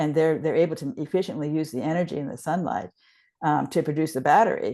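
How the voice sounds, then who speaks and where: Against a quiet background, a woman speaks at a fairly quick pace. Her voice is very deep and low, with a dark, mellow tone. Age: 70s. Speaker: research scientist. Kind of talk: interview. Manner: halting, many false starts.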